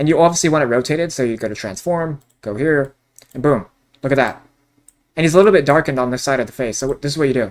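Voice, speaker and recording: This man talks at a very fast pace in an animated tone. His pitch is fairly high, with ordinary pitch variation. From Canada. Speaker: online course creator. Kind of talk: tutorial.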